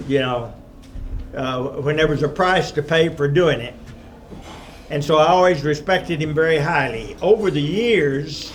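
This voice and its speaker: A man with a Texan accent, fairly high-pitched, with ordinary pitch variation, a moderate pace, long and frequent pauses, audible room echo and noticeable background noise. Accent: Texan US Southern. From Texas, San Antonio. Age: 70s. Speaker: retired math professor, invited speaker. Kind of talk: lecture. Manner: halting.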